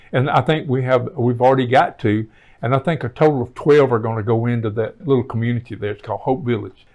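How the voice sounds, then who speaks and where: A man with a Southern US accent talks at a fairly quick pace, medium in pitch with ordinary variation. The background is quiet. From Alabama. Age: 70s. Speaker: housing agency director. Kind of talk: interview. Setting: office.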